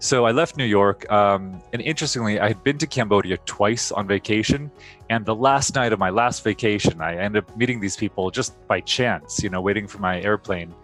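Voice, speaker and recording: Music plays behind a man with a General American accent and a fairly low pitch. He talks at a fairly quick pace with hardly any pauses and ordinary pitch variation. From United States, Los Angeles. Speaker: MBA graduate. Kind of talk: interview answer.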